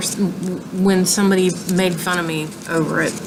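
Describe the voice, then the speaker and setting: Speaking with a Southern US accent, a woman keeps a medium pitch and flat, monotone intonation amid audible room echo and noticeable background noise. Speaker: crochet vlogger. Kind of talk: casual show-and-tell tutorial. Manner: halting, many ums.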